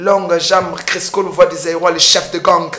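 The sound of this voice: A woman's fairly low pitch, fairly bright tone, fairly even intonation and moderate pace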